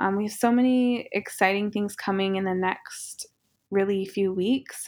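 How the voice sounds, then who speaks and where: In an American accent, a woman with a plain, everyday voice speaks at a moderate pace. Her pitch is medium with ordinary variation. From southeastern Montana, Cheyenne and Crow communities. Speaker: fashion designer and brand founder. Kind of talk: interview. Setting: video call.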